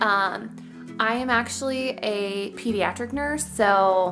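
Clear music plays behind a woman whose intonation stays fairly even. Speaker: vlogger. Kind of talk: casual vlog chat. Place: home room. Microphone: phone near.

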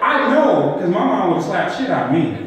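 A man talks at a moderate pace amid light background noise and strong room echo. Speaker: comedian. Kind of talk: stand-up comedy set with storytelling, crowd asides and edgy punchlines. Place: stage.

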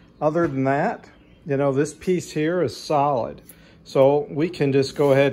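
Dark and mellow in tone, the voice moves at a moderate pace with ordinary pitch variation. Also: man. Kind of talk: tutorial. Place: garage. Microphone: phone near.

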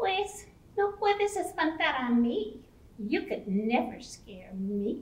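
A woman does a cartoonish character voice, pitched high, with very wide pitch swings and a fairly slow pace. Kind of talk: children's bilingual puppet show. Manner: upbeat, confident.

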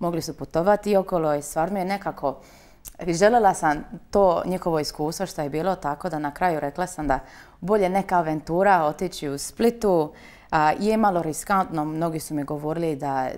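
Her pitch sits fairly low for a woman, with ordinary variation. She keeps a moderate pace. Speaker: interview guest. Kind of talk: interview answer. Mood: cheerful, relaxed. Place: studio. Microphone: lapel.

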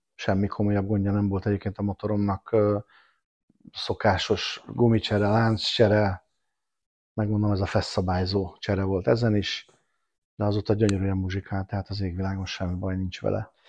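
Speaking at a moderate pace with long, frequent pauses, a man with a fairly low pitch keeps a monotone, flat intonation, recorded dry with no echo over a quiet background. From Budapest, Hungary. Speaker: motorcyclist, tour helper; podcast guest. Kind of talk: casual chat. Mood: relaxed, storytelling. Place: home room. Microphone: lapel.

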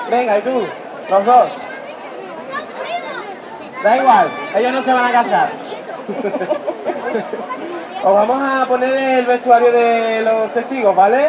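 Clear crowd noise and other clear background noise fill the scene. A man speaks at an extremely high pitch with ordinary pitch variation, slowly and with long, frequent pauses.

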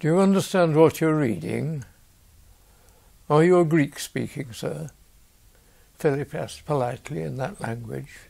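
A man with a fairly high pitch and a dark, mellow tone speaks at a moderate pace with ordinary pitch variation. Long, frequent pauses break up his speech over a quiet background. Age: 80s+. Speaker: lay preacher. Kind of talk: reading a bible story. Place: home room. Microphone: lapel.

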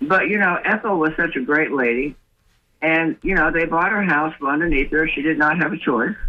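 In an American accent, a man speaks at a high pitch with ordinary pitch variation. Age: 70s. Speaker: caller. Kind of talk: call-in comment.

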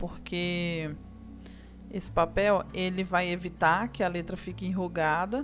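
Someone speaks at a fairly slow pace while music plays clearly in the background. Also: woman. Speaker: craft instructor. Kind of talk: tutorial. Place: home room.

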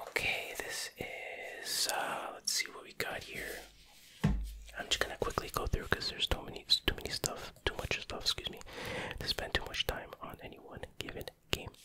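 Whispering, the speaker is soft-spoken at a moderate pace. Noticeable background noise can be heard. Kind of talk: casual collection showcase commentary. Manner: soft ASMR whisper, close to mic.

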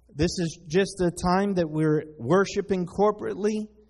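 A man's high-pitched voice with ordinary pitch variation. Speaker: pastor. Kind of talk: sermon. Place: church.

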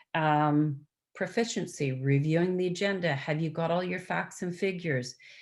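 Speaking with a Canadian accent and an unremarkable speaking voice, a woman talks at a moderate pace at a fairly low pitch on a very clean recording with a silent background. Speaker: procedure trainer, former municipal clerk. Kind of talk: training presentation. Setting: video conference.

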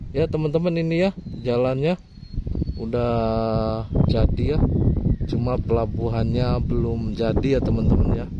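Over loud background noise, a man talks at a moderate pace with long, frequent pauses and ordinary pitch variation, the sound dry with no echo. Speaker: vlogger. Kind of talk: casual vlog chat. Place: open country. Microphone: phone near.

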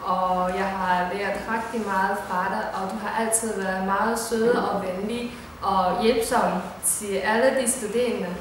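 Strong room echo surrounds a woman's voice, with light background noise behind it. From China. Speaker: university lecturer. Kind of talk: personal tribute. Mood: warm, grateful. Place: classroom. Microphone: camera far.

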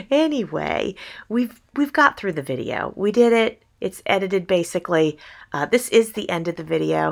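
A woman at a moderate pace, with vocal fry and very wide pitch swings, against a quiet background. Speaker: crafting YouTuber. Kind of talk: tutorial. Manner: stumbling over words.

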